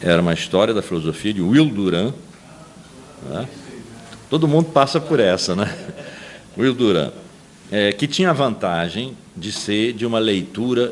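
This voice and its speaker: A man's voice at a moderate pace with very wide pitch swings and long, frequent pauses, amid noticeable background noise. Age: 70s. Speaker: philosophy professor. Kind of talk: testimony interview. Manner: halting with repetitions.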